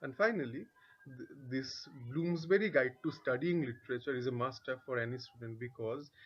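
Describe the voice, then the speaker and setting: A man with a medium pitch talks at a fairly quick pace with lively intonation. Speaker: English literature tutor. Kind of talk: tutorial. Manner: halting, self-correcting. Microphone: bad audio.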